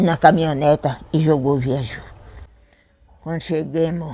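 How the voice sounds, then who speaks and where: In a very clean recording with a silent background, a woman with a very deep, low pitch speaks fairly slowly in a dark, mellow tone with fairly even intonation. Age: 80s+. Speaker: community elder, founder's daughter. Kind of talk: oral history interview answer.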